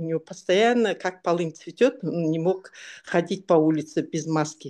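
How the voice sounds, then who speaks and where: Against a quiet background, a woman with a normal speaking voice talks at a fairly slow pace with ordinary pitch variation. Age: 60s. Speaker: product testimonial giver. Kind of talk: testimony.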